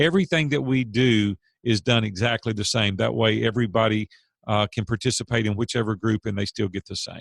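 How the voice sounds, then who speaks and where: A man talks at a fairly quick pace in a plain, everyday voice, pitched fairly low. The sound is dry and close, with no echo. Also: ordinary pitch variation. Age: 50s. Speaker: business coach and CEO. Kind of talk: interview.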